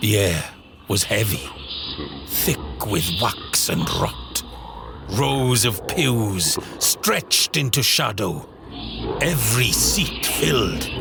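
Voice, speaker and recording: A man talks at a very slow pace and a fairly low pitch, with very wide pitch swings and long, frequent pauses. His loudness stays very even, and music plays in the background. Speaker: voice actor. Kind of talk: horror story narration. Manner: dark, ominous. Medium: audio drama.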